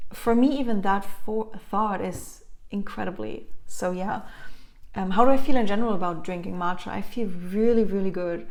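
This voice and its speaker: In a German accent, a woman speaks at a moderate pace with a medium pitch and ordinary pitch variation. Room echo is audible. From Germany. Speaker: wellness vlogger. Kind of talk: casual vlog talk to camera. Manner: hesitant, many fillers.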